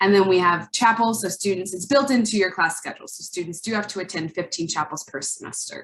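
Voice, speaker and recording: A woman's somewhat breathy, medium-pitched voice at a very fast pace, with ordinary pitch variation. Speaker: university admissions representative. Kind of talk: presentation.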